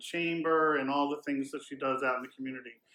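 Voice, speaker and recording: Here is a man with a Philadelphia accent. His tone is bright and sharp. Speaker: podcast co-host. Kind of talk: casual podcast interview; reading a guest bio and hotel info from notes. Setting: on location in a hotel.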